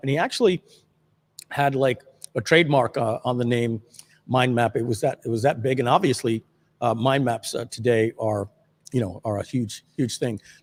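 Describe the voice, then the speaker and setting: Recorded with a dry, close sound and no echo, a man with an American accent has a plain, everyday voice at medium pitch, ordinary pitch variation and a moderate pace. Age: 50s. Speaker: livestream host, marketer. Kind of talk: casual livestream chat. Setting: video livestream.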